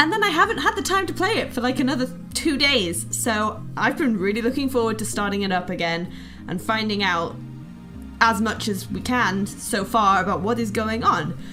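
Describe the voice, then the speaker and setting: A woman with a British accent at a moderate pace, music playing in the background. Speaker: let's player. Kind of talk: casual gameplay commentary.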